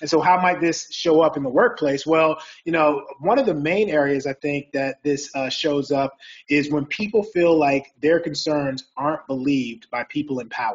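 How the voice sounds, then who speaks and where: Moderately paced, a man speaks in a normal speaking voice with a fairly high pitch and ordinary pitch variation. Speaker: psychologist and keynote speaker. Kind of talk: presentation. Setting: video call.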